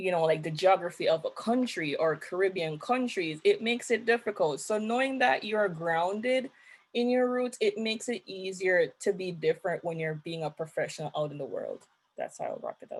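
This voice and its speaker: A woman's medium-pitched voice with lively intonation, at a fairly quick pace. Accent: Jamaican. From Jamaica. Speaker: young professional panelist. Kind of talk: panel discussion.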